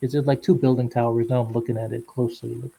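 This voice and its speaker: The man speaks at a very fast pace in a medium pitch. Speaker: podcast host. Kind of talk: casual interview. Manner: halting.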